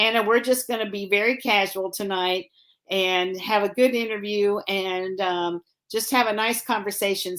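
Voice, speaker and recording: A woman with an American accent speaks in a normal speaking voice at medium pitch, with fairly even intonation and a moderate pace, on a very clean recording with a silent background. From Illinois. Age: 60s. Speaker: racing show host. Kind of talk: casual interview. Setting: sitting on a bed in a guest suite.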